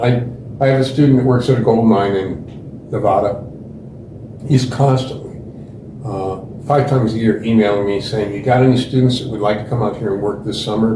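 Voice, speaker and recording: With an American accent, a man speaks at a moderate pace and medium pitch with ordinary pitch variation. Audible room echo and noticeable background noise surround him. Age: 70s. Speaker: geology professor. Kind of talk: interview.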